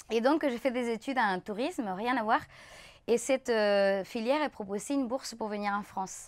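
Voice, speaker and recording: A woman with a Spanish accent speaks at a moderate pace and a fairly high pitch. Her pitch variation is ordinary, and the recording is very clean with a silent background. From Chile. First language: Spanish (speaking French). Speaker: dancer and choreographer. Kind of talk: casual interview chat. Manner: halting, many hesitations.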